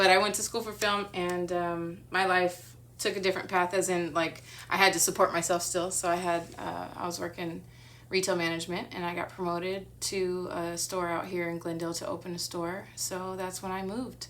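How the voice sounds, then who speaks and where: In a room with audible echo, a woman with an American accent speaks at a moderate pace and fairly low pitch in a monotone, flat intonation. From Southern California, San Bernardino County. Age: 40s. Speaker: artist and photographer. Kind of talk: interview. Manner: hesitant, many fillers.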